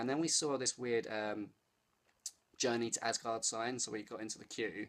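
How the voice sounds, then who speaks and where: This man speaks at a medium pitch in an English accent. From England. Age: 30s. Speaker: vlogger. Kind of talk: casual vlog. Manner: animated.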